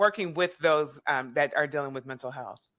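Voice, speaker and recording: A woman speaks in an animated tone that is bright and sharp. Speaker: podcast host. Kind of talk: interview.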